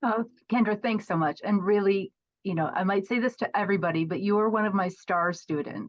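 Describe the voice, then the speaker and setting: Using an ordinary speaking voice, a woman of medium pitch talks at a fairly quick pace with ordinary pitch variation. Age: 50s. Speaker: professional organizer and course creator. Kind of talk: podcast interview.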